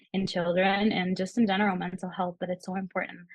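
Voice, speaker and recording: The delivery is very fast and somewhat breathy. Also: woman. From Peru, raised in the US. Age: 20s. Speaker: social work student. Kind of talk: podcast interview.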